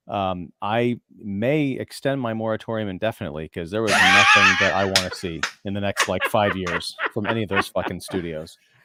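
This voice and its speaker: A plain, everyday voice from a man with fairly low pitch, ordinary pitch variation, moderate pace and hardly any pauses. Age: 40s. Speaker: film critic and podcaster. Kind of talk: casual chat.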